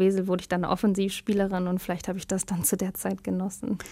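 Words come at a very fast pace from a woman. Her pitch sits in the medium range. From Germany, Lower Rhine (Hünxe). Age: 20s. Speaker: footballer. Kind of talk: radio interview.

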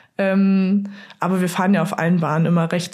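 Audible room echo surrounds a woman speaking at a medium pitch in a monotone, flat intonation. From Saxony, Dresden. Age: 20s. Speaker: luge athlete. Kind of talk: interview.

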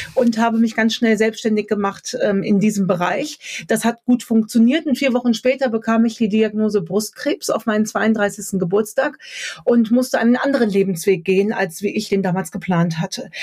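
A woman with a fairly high pitch talks at a moderate pace with ordinary pitch variation and very even loudness. Background noise is noticeable. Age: 30s. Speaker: author, speaker and coach. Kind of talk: podcast interview.

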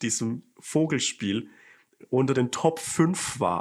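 The background is silent on this very clean recording. Pitch moves with ordinary variation. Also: man. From Lower Franconia, Germany. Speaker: Twitter comedian and influencer. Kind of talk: casual chat.

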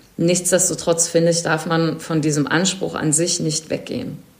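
This is a plain, everyday voice. It moves at a fairly slow pace. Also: woman. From Berlin, Germany. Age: 40s. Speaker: event production manager and volunteer coordinator. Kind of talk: interview. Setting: video call.

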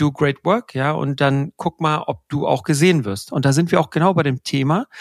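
In a dry, close recording with no echo, a man with an unremarkable speaking voice talks at a moderate pace and a fairly high pitch. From Germany, Pakistani family. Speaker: podcast host, senior leader. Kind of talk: casual chat.

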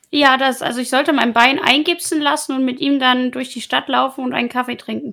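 Raising and projecting her voice, a woman with a high pitch speaks at a fairly quick pace with fairly even intonation. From Hamburg, northern Germany. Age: 20s. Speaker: Twitch streamer. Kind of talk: casual chat.

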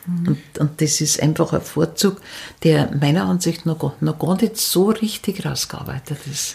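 Somewhat breathy and dark, mellow in tone, a woman with a very deep, low pitch speaks at a fairly slow pace with ordinary pitch variation. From Upper Bavaria, near Munich. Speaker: storyteller and folklore expert. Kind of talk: interview. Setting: at the guest's home over tea.

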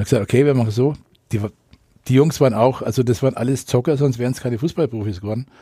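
Speaking at a very fast pace with long, frequent pauses, a man uses a medium-pitched, somewhat breathy voice with a dark, mellow tone. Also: ordinary pitch variation. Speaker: radio correspondent. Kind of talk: casual interview storytelling.

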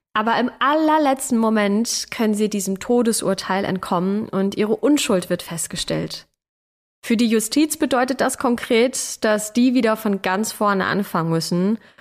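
In a normal speaking voice, the speaker keeps a moderate pace, very even loudness and ordinary pitch variation, in a very clean recording with a silent background. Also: woman, fairly high pitch for a woman. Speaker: podcast host. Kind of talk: true-crime narration. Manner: serious, measured, storytelling.

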